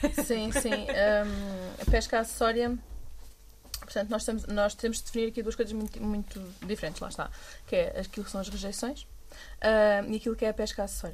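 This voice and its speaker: A woman talks at a fairly quick pace, broken by long, frequent pauses. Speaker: NGO fisheries coordinator. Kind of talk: casual chat.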